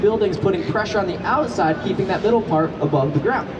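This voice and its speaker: A woman talks at a very fast pace amid noticeable background noise and audible room echo. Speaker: tour guide. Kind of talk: guided tour commentary. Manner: animated.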